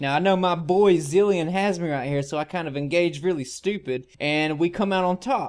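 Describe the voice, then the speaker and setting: This man has a Southern US accent and a high pitch. His pitch variation is ordinary. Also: quiet background. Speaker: gaming YouTuber. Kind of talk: gameplay guide commentary. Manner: casual.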